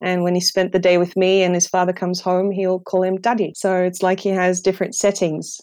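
On a very clean recording with a silent background, a woman with a slight non-native accent speaks fairly quickly in a medium pitch, her intonation flat and monotone, with hardly any pauses. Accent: near-native English. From Netherlands. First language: Dutch. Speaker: English teacher. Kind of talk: interview.

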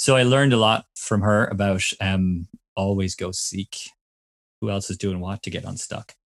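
In a Cork accent, a man with a fairly low pitch speaks at a moderate pace with fairly even intonation, the sound dry and close with no echo over a quiet background. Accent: Cork Irish. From Ireland, Cork. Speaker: innovation consultant. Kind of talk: casual chat.

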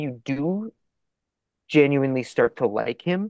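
This man has a plain, everyday voice. His pitch is fairly high, with ordinary variation. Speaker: filmmaker. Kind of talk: casual chat.

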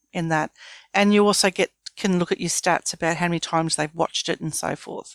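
This woman has an Australian accent and a fairly low voice, talking at a fairly quick pace with fairly even intonation. The sound is dry and close with no echo, on a very clean recording with a silent background. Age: 50s. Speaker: business founder. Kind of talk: interview.

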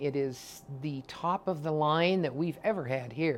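In a plain, everyday voice, a woman talks at a fairly slow pace with ordinary pitch variation. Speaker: ultrasound technologist. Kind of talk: interview clips.

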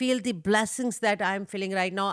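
A woman speaks at a moderate pace in a South Asian accent, her pitch fairly high with ordinary variation. The recording is very clean, with a silent background. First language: Hindi-Urdu. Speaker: mother of the guest. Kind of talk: casual chat. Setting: family home. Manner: loud.

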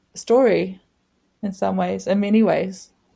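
A woman with a New Zealand accent. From New Zealand, Northland. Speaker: artist and activist. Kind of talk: interview.

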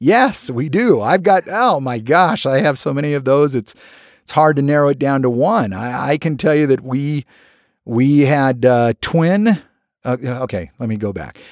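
In an American accent, a man with an ordinary speaking voice talks at a fairly slow pace, his pitch fairly high and his intonation lively, over a quiet background. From US (California, Alaska, Connecticut). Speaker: TV producer and host. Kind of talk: interview.

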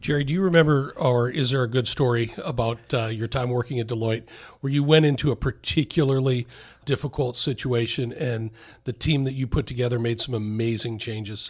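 Fairly quick, somewhat breathy speech from a man at medium pitch with fairly even intonation, on a very clean recording with a silent background. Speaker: podcast host, wealth advisor. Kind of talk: interview.

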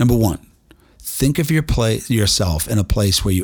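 Somewhat breathy and animated, a man speaks at a moderate pace. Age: 50s. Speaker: inspirational podcast host. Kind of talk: motivational monologue.

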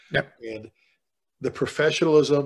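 In a quiet background, a man with a Chicago accent speaks with fairly even intonation. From South Side of Chicago. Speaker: fire chief and author, leadership speaker. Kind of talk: casual interview conversation.

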